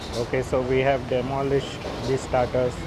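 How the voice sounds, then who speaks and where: A man speaks at a fairly slow pace amid noticeable background noise. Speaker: food vlogger. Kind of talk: casual restaurant review commentary. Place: cafe. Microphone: phone near.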